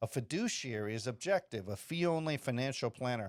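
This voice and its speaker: Speaking at a fairly quick pace, a man with an unremarkable speaking voice uses a medium pitch and ordinary pitch variation. The sound is dry and close with no echo, on a very clean recording with a silent background. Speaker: podcast host giving money advice. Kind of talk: casual podcast monologue answering emails. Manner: loose, rambling with fillers and self-corrections.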